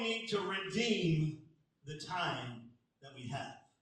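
A man speaks at a very slow pace with lively intonation. The recording has audible room echo. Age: 50s. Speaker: pastor. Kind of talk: sermon.

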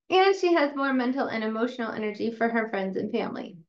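A high-pitched woman at a fairly quick pace with an American accent, amid audible room echo. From upstate New York. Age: 40s. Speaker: chiropractor and podcast host. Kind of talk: lecture.

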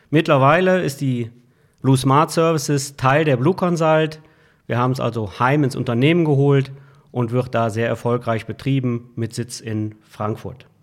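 A man's ordinary speaking voice, medium in pitch, with ordinary pitch variation at a fairly slow pace, in a very clean recording with a silent background. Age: 60s. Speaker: IT services manager. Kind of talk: interview. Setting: office.

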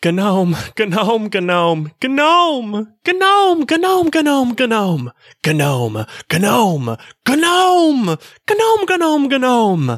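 A female-sounding, put-on character voice speaks at a very slow pace with a high pitch and very wide pitch swings. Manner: world-weary.

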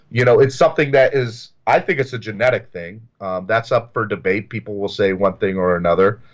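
A man with an American accent and an unremarkable speaking voice, medium-pitched with ordinary pitch variation, at a fairly quick pace with hardly any pauses, against a quiet background. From US South. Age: 30s. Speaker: recovering addict. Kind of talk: personal testimony. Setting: video call.

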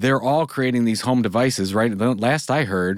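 On a very clean recording with a silent background, a man with a plain, everyday voice talks at a moderate pace, a medium pitch and ordinary pitch variation. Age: 40s. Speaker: entrepreneur and author. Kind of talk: interview conversation.

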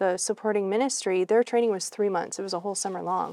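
A woman speaks in a dark, mellow tone with ordinary pitch variation against a quiet background. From New England, US. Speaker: missionary and mission trainer. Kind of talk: interview.

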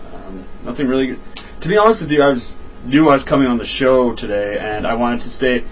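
A man of medium pitch speaks at a very fast pace with ordinary pitch variation over noticeable background noise. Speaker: guest on friends' show. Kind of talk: casual banter.

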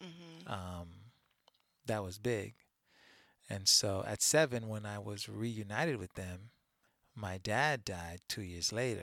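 Lively intonation comes at a very slow pace, with long, frequent pauses and big swings in loudness. The recording is very clean, with a silent background. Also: man, fairly low pitch for a man. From Haiti. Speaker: therapist and podcast co-host. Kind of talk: casual chat.

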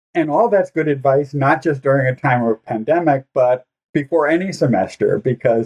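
A man talks in a normal speaking voice at medium pitch. His pace is moderate. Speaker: podcast co-host. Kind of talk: podcast discussion.

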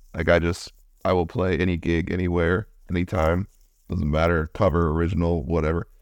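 A man with an American accent, a very deep, low pitch, monotone, flat intonation and a fairly quick pace, on a very clean recording with a silent background. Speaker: podcast host and musician. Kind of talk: casual interview. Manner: casual, uses filler words.

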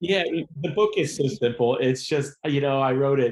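With a plain, everyday voice and an American accent, a man speaks at a moderate pace with ordinary pitch variation against a quiet background. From Ohio. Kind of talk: interview.

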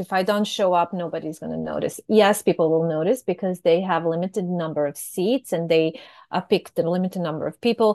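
A woman with a Serbian accent talks at a fairly quick pace in a medium pitch, recorded dry and close with no echo against a quiet background. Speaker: fraud prevention professional. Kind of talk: casual chat.

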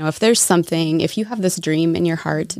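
A woman with a fairly low pitch and a slight Minnesota accent talks with ordinary pitch variation in a dry, close sound with no echo. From Minnesota, US Midwest. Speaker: guest, sells fair trade goods. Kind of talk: casual interview chat.

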